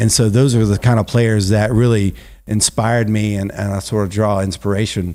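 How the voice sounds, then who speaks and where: With a dark, mellow tone and fairly low pitch, a man speaks at a moderate pace and with fairly even intonation on a very clean recording with a silent background. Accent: Southern US. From South Carolina, Greenville. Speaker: ballpark organist. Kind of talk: casual interview chat. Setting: podcast studio in a garage.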